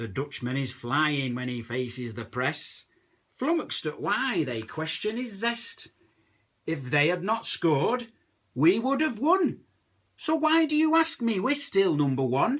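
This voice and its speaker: With a Lancashire accent, a man speaks at a fairly slow pace. His pitch is high and swings very widely. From Lancashire, England. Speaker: comic poet. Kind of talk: comic poetry reading.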